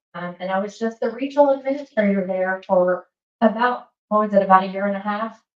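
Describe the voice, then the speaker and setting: A woman talks at a moderate pace with a Southern US accent. Her pitch is medium, with ordinary pitch variation. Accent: Southern accent, kept. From US South, Alabama. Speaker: government safety regional administrator. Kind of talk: presentation at professional meeting. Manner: casual, many fillers.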